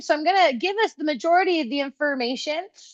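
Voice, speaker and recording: Against a quiet background, a woman with an American accent talks at a very fast pace with lively intonation. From Colorado. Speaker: trainer and consultant. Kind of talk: webinar presentation. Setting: video webinar. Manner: high-energy.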